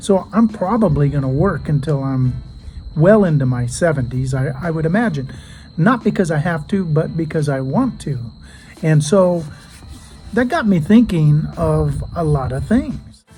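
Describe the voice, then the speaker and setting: Over music in the background, a man with an American accent speaks at a moderate pace in a fairly high pitch with lively intonation. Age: 60s. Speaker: junk removal business owner. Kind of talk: casual vlog monologue. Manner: conversational, with fillers.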